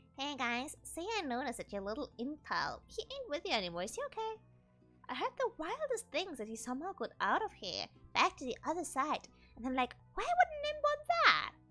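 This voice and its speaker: A high-pitched, put-on character voice moves at a fairly quick pace over faint background music. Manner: sly, mischievous.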